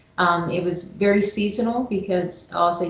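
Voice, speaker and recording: In a room with audible echo, a woman with a slight Southern US accent speaks at a medium pitch and a moderate pace. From US South. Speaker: HVAC operations manager. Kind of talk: casual interview chat.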